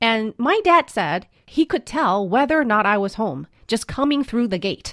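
A woman speaks at a moderate pace with very wide pitch swings. The sound is dry and close, with no echo. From China, then US from middle school. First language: Mandarin Chinese. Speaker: podcast guest co-host, parent. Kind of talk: casual chat.

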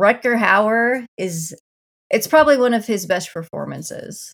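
With a Midwestern American accent, the speaker keeps a moderate pace and lively intonation. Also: woman. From rural Iowa. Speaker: podcast co-host. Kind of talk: casual chat.

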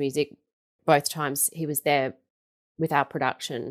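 In an Australian accent, a woman speaks at a fairly quick pace. The recording is very clean, the background silent. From Melbourne, Australia. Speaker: stage performer and singing teacher. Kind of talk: interview.

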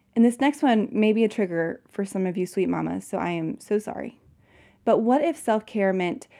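On a very clean recording with a silent background, a woman with a dark, mellow tone and fairly high pitch speaks at a moderate pace with ordinary pitch variation. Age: 30s. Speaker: podcast host. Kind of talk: solo podcast monologue. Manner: animated.

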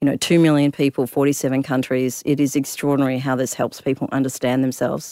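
A woman's very deep, low, monotone voice with an Australian accent at a very fast pace, the flat intonation caught on a very clean recording with a silent background and a dry, close sound with no echo. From Perth, Western Australia (immigrated from Africa when young). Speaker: tech startup founder and CEO. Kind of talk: interview.

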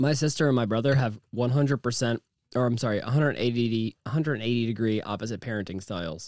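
In a very clean recording with a silent background, a man with an unremarkable speaking voice talks at a moderate pace, medium in pitch with ordinary pitch variation. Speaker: podcast host who interviews guests. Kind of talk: casual banter podcast.

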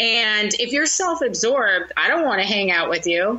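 A woman with lively intonation, over noticeable background noise. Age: 40s. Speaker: social media consultant and comedian. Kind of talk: interview.

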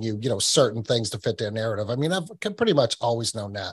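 This man sounds somewhat breathy and speaks at a fairly quick pace. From New England. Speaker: podcast host and researcher. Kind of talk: casual interview chat. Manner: repetitive, stammering restarts.

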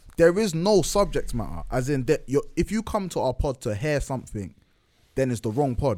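A man's fairly high, dark, mellow voice in a London accent, with very wide pitch swings. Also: moderate pace. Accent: multicultural London English. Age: 20s. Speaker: podcast co-host guest. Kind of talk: casual chat.

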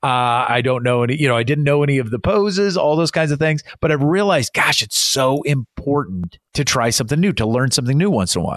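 A man talks very fast with hardly any pauses, his pitch fairly high. His tone is animated and his loudness stays very even. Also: lively intonation. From Iowa, US Midwest. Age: 40s. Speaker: success coach and keynote speaker. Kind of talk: casual interview chat.

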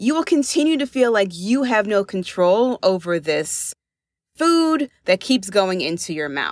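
On a very clean recording with a silent background, a woman of medium pitch sounds energetic at a fairly slow pace, her pitch swinging very widely. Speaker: life and weight loss coach, podcast host. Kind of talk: solo podcast monologue, coaching talk. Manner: energetic, direct.

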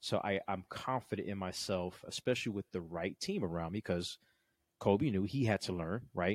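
With an unremarkable speaking voice, a man talks fairly quickly at a fairly low pitch with ordinary pitch variation, the sound dry and close with no echo on a very clean recording with a silent background. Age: 40s. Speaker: business startup coach, podcast host. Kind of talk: casual chat.

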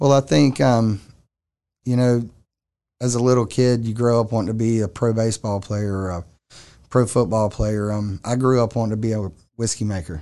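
A man with a Southern US accent, a medium pitch, a dark, mellow tone, ordinary pitch variation, a moderate pace and long, frequent pauses, against a quiet background. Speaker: distillery owner. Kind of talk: interview.

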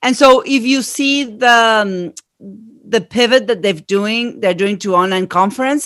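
A woman's fairly slow, fairly high-pitched voice with ordinary pitch variation and big swings in loudness, on a very clean recording with a silent background. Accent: Argentine. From Argentina. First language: Spanish. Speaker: marketing consultant. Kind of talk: interview.

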